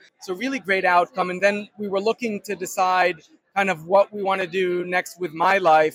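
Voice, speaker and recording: Recorded dry and close with no echo, a man talks at a fairly quick pace. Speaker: startup founder. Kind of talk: interview answers.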